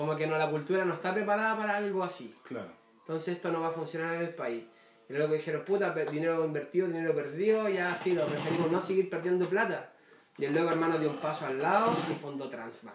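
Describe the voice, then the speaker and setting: Speaking very fast with a Chilean accent, a man uses a high pitch and ordinary pitch variation. There is audible room echo and noticeable background noise. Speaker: podcast guest. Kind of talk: casual chat.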